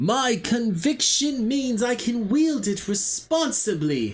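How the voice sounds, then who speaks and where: A put-on character voice, fairly high in pitch, moves at a fairly slow pace. Faint music plays in the background. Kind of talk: grand, theatrical. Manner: hammy, overly heroic.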